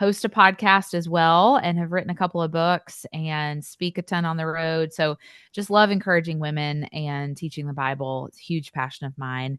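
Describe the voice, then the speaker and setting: A woman with an East Tennessee accent and a fairly low pitch speaks at a moderate pace with hardly any pauses, ordinary pitch variation and big swings in loudness, recorded dry and close with no echo against a quiet background. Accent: Southern, East Tennessee. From US South, East Tennessee. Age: 30s. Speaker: author and speaker. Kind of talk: interview.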